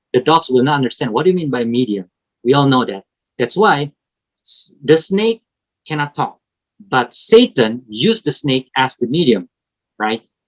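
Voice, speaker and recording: The speaker has an Indonesian accent and a moderate pace. Long pauses come frequently. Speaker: preacher. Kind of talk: sermon.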